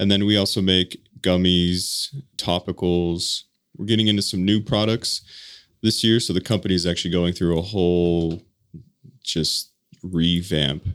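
A man with an American accent speaks at a moderate pace, his very deep, low voice holding a very even loudness with long, frequent pauses. The recording is very clean, with a silent background. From Colorado. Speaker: business founder, former firefighter. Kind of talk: interview.

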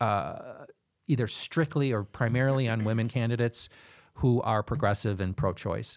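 A normal speaking voice from a man with an American accent, medium pitch, ordinary pitch variation and moderate pace, on a very clean recording with a silent background. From Chicago. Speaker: city council candidate. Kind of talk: interview conversation.

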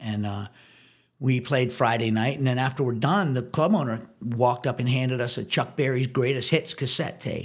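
Somewhat breathy, the voice carries an American accent. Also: man. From Washington, D.C. area. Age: 60s. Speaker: drummer. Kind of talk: casual chat.

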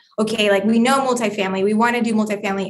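Using fairly even intonation, a woman with a Colombian accent talks at a very fast pace. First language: Spanish. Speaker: real estate investor, former management consultant. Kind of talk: interview.

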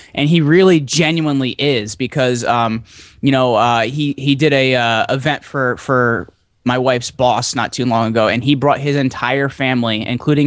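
This is a man with an ordinary speaking voice and a medium pitch. He keeps a moderate pace and fairly even intonation. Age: 20s. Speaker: podcast host and entrepreneur. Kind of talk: casual interview.

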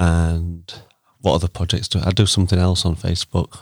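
A man speaks at a fairly quick pace with a Yorkshire accent. His voice sits very deep and low. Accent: Sheffield Yorkshire English. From Sheffield, South Yorkshire, England. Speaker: community social media account runner. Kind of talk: casual chat. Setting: studio.

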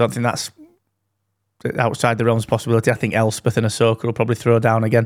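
With a British accent, a man at medium pitch talks very fast in a flat, monotone way, broken by long, frequent pauses, on a very clean recording with a silent background. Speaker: podcast co-host. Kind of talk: casual chat. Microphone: dynamic broadcast mic, good audio quality.

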